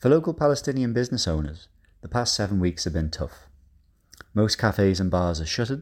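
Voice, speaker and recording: Over a very clean recording with a silent background, a man talks at a very fast pace with lively intonation. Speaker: writer reading his own article. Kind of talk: reading aloud.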